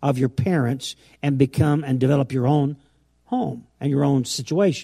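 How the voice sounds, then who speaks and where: Somewhat breathy, this man's voice sits at a fairly high pitch with a dark, mellow tone. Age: 70s. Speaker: pastor. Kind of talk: sermon. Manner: halting.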